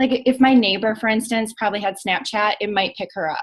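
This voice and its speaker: A woman speaks with a fairly high pitch and ordinary pitch variation. Her voice is somewhat breathy. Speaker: social media business trainer. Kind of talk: team training call. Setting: recorded group call. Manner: fast; casual, filler-heavy.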